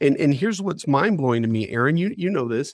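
A man with an American accent speaks at a fairly high pitch, recorded with a dry, close sound, no echo and a quiet background. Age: 50s. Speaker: company CEO. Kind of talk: interview. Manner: halting.

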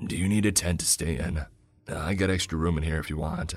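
Putting on a character voice, a man speaks raspy and at a very deep, low pitch, with fairly even intonation and a fairly quick pace. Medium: read story.

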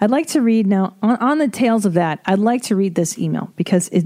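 A woman speaks at a moderate pace. Her tone is dark and mellow, with ordinary pitch variation.

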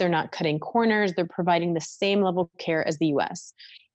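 An unremarkable speaking voice from a woman with an American accent, fairly low in pitch with ordinary pitch variation, at a fairly quick pace over a quiet background. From Minnesota, US Midwest. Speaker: oral and maxillofacial surgeon. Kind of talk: interview conversation.

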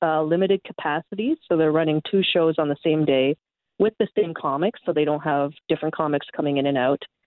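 A woman with a Canadian accent, an ordinary speaking voice, fairly low pitch, ordinary pitch variation, very even loudness and a fairly quick pace. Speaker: comedian. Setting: phone call.

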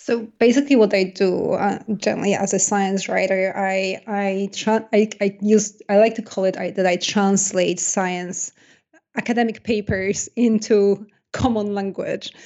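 Speaking fairly slowly in a flat monotone, a woman with a Polish accent holds a medium pitch. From Poland. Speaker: science journalist and author. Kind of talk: interview. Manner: hesitant, many fillers.

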